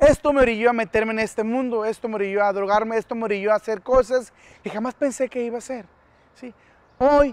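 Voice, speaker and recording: A man's voice, extremely high in pitch, moves at a fairly quick pace in a dry sound with no echo. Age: 30s. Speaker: former gang member, youth outreach speaker; speaker. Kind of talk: public service announcement. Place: garden.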